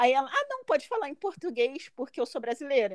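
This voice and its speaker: With very wide pitch swings, a woman speaks at a high pitch in a dry, close sound with no echo. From Brazil. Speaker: master's graduate living abroad. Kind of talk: interview.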